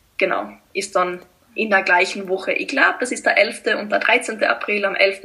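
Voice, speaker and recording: A woman with a Tyrolean accent speaks at a medium pitch, her pitch rising and falling in an ordinary way. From Austria, East Tyrol. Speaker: blogger and mental coach. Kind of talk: interview.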